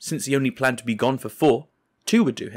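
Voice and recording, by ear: Quiet surroundings for reading aloud in a natural voice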